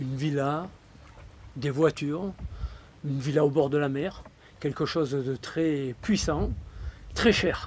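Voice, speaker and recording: The man's pitch is fairly high with ordinary variation, and he talks at a very slow pace. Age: 70s. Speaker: retired entrepreneur. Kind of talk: interview testimony. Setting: live event venue.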